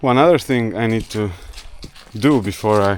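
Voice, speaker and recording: A man at a medium pitch, talking at a fairly slow pace. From Croatia. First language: Croatian. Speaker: vlogger. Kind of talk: casual vlog narration.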